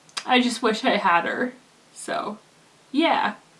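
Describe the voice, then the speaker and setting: Very slow speech from a woman with a high pitch and ordinary pitch variation, amid noticeable background noise. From Canada. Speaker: vlogger. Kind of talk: personal vlog testimony. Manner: halting, many fillers.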